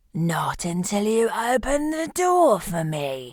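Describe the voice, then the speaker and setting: A woman's put-on character voice, fairly high in pitch with very wide pitch swings, at a fairly slow pace. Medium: read story. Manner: gruff, commanding.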